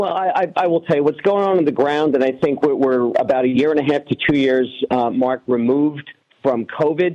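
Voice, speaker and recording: With a New York accent, a man speaks at a fairly high pitch, his loudness very even and his pitch variation ordinary. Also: fairly quick pace. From New York City (Queens). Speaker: congressional candidate. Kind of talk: radio interview.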